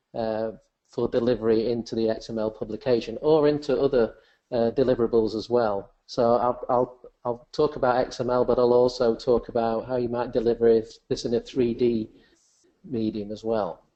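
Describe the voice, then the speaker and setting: A man with an English accent talks at a moderate pace. His intonation is monotone and flat. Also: medium pitch for a man. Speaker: software presenter. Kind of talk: webinar software demonstration.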